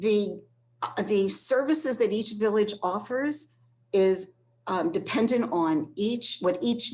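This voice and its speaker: A woman at a fairly slow pace, with very wide pitch swings. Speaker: transportation program staff presenter. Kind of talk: online presentation. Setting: online session.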